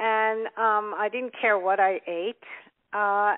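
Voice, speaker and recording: At a fairly slow pace, a woman of medium pitch speaks in an ordinary speaking voice. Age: 60s. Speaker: health author and wellness expert. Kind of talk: interview.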